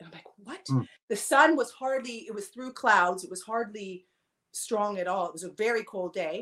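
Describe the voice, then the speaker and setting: A woman with a fairly high pitch speaks at a moderate pace, her intonation lively and her loudness swinging widely. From Vancouver, Canada. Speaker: shamanism student. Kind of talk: casual interview chat. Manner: hesitant, many fillers.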